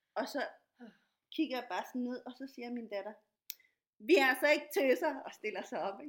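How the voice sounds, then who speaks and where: Lively intonation carries this voice at a moderate pace, broken by long, frequent pauses. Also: woman, high pitch for a woman. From Latin America. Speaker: podcast host, dancer and activist. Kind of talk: casual interview.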